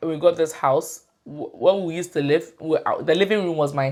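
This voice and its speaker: A woman speaks at a moderate pace in a normal speaking voice, her pitch fairly low. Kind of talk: casual interview chat.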